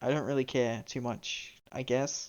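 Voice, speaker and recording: The speaker talks at a moderate pace. A slight Australian accent comes through. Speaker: streamer. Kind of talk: gaming livestream chat. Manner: animated.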